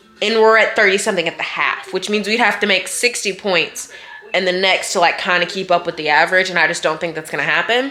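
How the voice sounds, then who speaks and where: A woman talks at a very fast pace in an animated tone. Background noise is noticeable. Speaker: college student vlogger. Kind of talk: casual vlog to camera.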